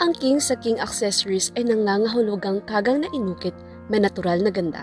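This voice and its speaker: Over music in the background, a woman talks at a fairly quick pace at medium pitch, with ordinary pitch variation and very even loudness. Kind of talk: TV commercial read.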